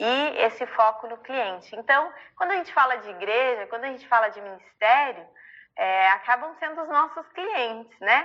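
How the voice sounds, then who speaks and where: Speaking at a moderate pace, a woman with a high pitch uses a warm tone, lively intonation and big swings in loudness. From southern Brazil (Rio Grande do Sul). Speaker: church ministry leader. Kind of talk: online ministry training talk. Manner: warm, conversational.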